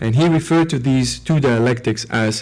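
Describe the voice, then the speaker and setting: A man's medium-pitched voice with a Slovene accent, at a moderate pace with ordinary pitch variation. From Slovenia. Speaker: philosopher. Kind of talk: lecture. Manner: hesitant, with fillers and repetitions.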